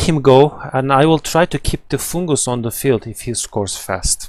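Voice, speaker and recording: With a normal speaking voice, a man talks at a moderate pace with hardly any pauses, his fairly high pitch rising and falling in lively intonation. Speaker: gaming streamer playing and commentating. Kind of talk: live gameplay commentary.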